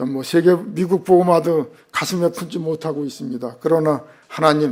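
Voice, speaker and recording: A man with an ordinary speaking voice, fairly high in pitch, talks at a fairly slow pace with ordinary pitch variation. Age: 60s. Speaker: missionary. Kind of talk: sermon. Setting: church.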